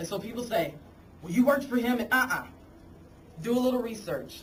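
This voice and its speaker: A woman speaks in an animated tone. The recording has audible room echo. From Arkansas. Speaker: congressional candidate. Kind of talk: campaign speech. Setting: committee meeting with audience.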